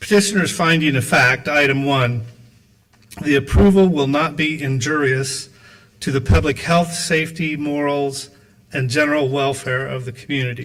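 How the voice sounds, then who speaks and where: Noticeable background noise sits behind a man with a fairly high voice. He talks at a moderate pace with ordinary pitch variation. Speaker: reads petitioner's findings of fact at a public hearing. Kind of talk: formal, reading aloud. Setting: public hearing or board meeting.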